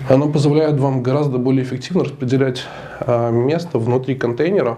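Over faint background noise, a nasal man talks with fairly even intonation and a slightly mellow tone.

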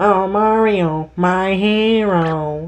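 A female-sounding, put-on character voice comes across as squeaky and whiny at a medium pitch. Its tone is whiny throughout. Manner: annoying, whiny.

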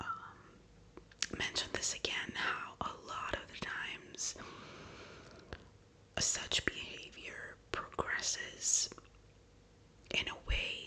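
A whispering voice speaks at a very slow pace. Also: woman. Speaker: ASMR true-crime narrator. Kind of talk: soft-spoken true crime storytelling. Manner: soft, hushed ASMR storytelling voice. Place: home room.

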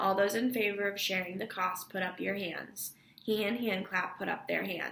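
The voice reads naturally. Its intonation stays fairly even.

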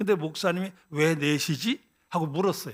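The man talks at a moderate pace. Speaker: retired pastor. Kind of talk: sermon.

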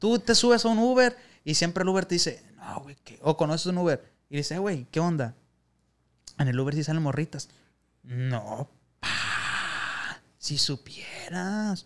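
A man's high pitch with lively intonation and big swings in loudness at a fairly slow pace, over light background noise. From Sinaloa, Mexico (Culiacán); Sinaloa, Mexico. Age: 20s. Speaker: youtuber, former rideshare driver; youtuber. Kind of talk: casual chat. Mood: relaxed, joking. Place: studio. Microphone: studio mic.

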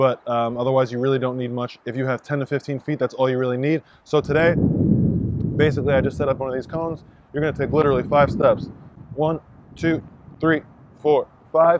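Amid loud background noise, the man's voice comes through dry and free of echo. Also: fairly quick pace. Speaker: fitness coach. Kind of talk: tutorial. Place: stadium.

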